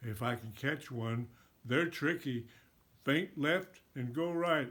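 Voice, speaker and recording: A man does a put-on character voice at a medium pitch and a fairly slow pace. The recording is very clean with a silent background. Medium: read story.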